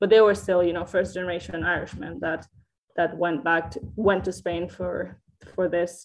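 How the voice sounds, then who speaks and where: At a moderate pace, a woman with a Catalan accent talks at a fairly low pitch with vocal fry and ordinary pitch variation. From Catalonia. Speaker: historian. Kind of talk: interview.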